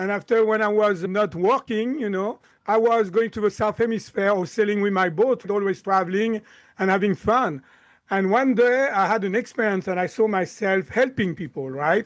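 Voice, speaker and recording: Over a quiet background, a man speaks with a slight French accent at a moderate pace. His high pitch shows ordinary variation. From France, Lyon. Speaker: chiropractor and mind-body coach. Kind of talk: podcast interview.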